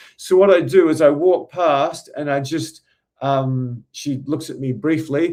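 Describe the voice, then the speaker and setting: Fairly even intonation runs through this speech with an Australian accent. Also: man. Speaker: dating coach. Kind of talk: casual storytelling.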